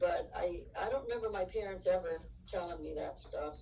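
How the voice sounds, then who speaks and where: Speaking at a moderate pace, the woman is heard with audible room echo. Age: 70s. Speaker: interviewee sharing life story. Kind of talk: interview. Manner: halting.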